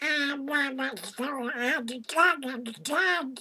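A put-on character voice with a bright, sharp tone, at a slow pace with ordinary pitch variation.

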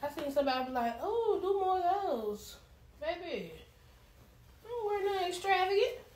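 The speaker keeps a moderate pace while audible room echo hangs on the words. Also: woman, extremely high pitch for a woman. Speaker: social media creator. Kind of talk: casual vlog chat. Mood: playful, slightly sassy. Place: home room. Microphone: phone near.

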